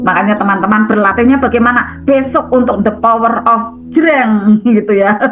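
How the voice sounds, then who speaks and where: The speaker has a Central Javanese accent. Noticeable background noise runs underneath. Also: woman. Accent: Javanese Tegal-Pekalongan (Ngapak). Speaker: spiritual prosperity coach. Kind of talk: motivational talk to an online group.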